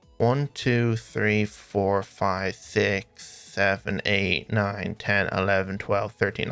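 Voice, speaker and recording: A man's fairly low voice at a very slow pace, with fairly even intonation, very even loudness, hardly any pauses, and music in the background. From Ireland. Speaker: gaming streamer. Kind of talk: live gameplay stream chat. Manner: casual, counting aloud.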